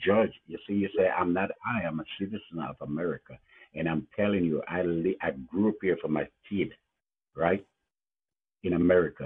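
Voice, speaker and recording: With long, frequent pauses, a man speaks at a moderate pace. His pitch is very deep and low, with ordinary variation. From Jamaica. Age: 70s. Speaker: caller. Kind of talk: heated debate. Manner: animated.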